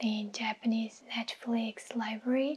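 The voice is soft-spoken, with a calm tone. It moves at a very slow pace in a monotone, flat intonation. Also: woman. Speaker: YouTuber doing sponsor reads. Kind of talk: sponsor read to camera. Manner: soft-spoken, calm. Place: kitchen. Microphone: lapel.

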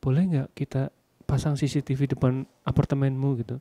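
A man whispers at a moderate pace, with a dry, close sound and no echo. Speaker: vlogger. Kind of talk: casual chat. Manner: loud; whispering.

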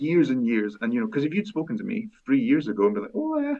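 A man speaks at a very fast pace in a Scottish accent. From Aberdeen, Scotland. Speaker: fantasy author. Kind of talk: podcast interview answer.

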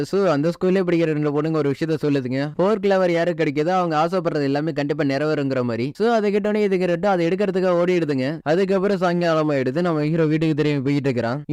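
Here is an ordinary speaking voice from a man, fairly high in pitch. His loudness stays very even, and his pitch varies in an ordinary way. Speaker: story narrator. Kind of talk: anime story explanation. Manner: casual, chatty.

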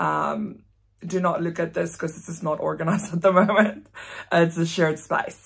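A woman speaks with a South African accent and vocal fry. Her intonation is fairly even, and the background is quiet. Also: fairly low pitch for a woman. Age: 20s. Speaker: vlogger. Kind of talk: casual vlog monologue. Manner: fast talker. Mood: relaxed, candid. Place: home room. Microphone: phone near.

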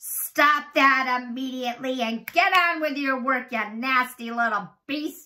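Using a put-on character voice, a woman speaks fairly slowly at a high pitch with ordinary pitch variation and hardly any pauses. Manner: harsh, commanding.

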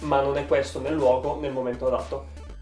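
A man talking at a fairly quick pace, music in the background. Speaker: YouTuber. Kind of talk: casual talk to camera. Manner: not very expressive.

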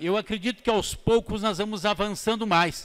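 A man is speaking. The background is quiet. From southern Brazil, Paraná (Foz do Iguaçu); Paraná, Brazil. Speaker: politician, parliamentarian; politician. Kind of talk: parliamentary speech. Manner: formal. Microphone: podium.

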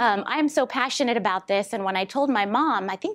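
Ordinary pitch variation from a woman, moderate pace throughout. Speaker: guest lecturer. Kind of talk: lecture. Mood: warm, lightly humorous. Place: classroom.

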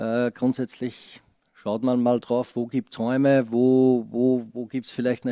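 A man with an Austrian accent speaks at a moderate pace in a medium pitch, his tone dark and mellow and his intonation flat and monotone, recorded dry with no echo against a quiet background. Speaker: football assistant coach. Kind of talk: press conference. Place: meeting room. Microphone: podium.

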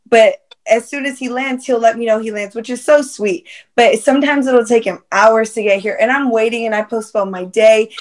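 In a normal speaking voice with fairly even intonation, the loudness swings widely and hardly any pauses break the speech over a quiet background. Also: woman, fairly high pitch for a woman, moderate pace. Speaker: entrepreneur. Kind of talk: casual panel discussion. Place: home room. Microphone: video call.

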